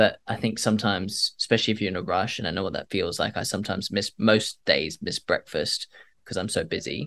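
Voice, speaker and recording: A man talks at a very fast pace over a quiet background. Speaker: climate entrepreneur and polar explorer. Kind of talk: casual interview chat. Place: home room.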